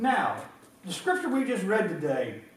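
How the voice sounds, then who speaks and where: Noticeable background noise and audible room echo surround a man with an American accent. He talks at a moderate pace. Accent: country accent, noticeable up north. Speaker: pastor. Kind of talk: sermon. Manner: halting, repetitive.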